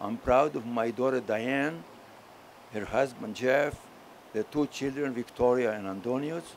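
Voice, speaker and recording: With a strong Greek accent, a man speaks at a fairly slow pace in a medium pitch, leaving long, frequent pauses. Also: ordinary pitch variation. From Crete, Greece. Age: 80s+. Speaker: war veteran. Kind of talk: acceptance speech. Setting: ceremony at a memorial. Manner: halting.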